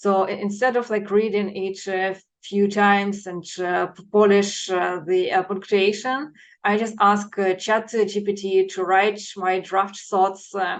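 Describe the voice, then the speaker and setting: With a non-native accent, a woman speaks at a fairly slow pace in a monotone, flat intonation over a quiet background. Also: medium pitch for a woman. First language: not English. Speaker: project management professional. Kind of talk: short expert talk. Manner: halting, many fillers.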